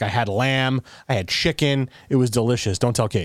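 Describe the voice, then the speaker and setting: On a very clean recording with a silent background, a man talks in an unremarkable speaking voice. His pitch is medium, with ordinary pitch variation and a fairly quick pace. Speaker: podcast host. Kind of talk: casual chat. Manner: rambling, filler-heavy.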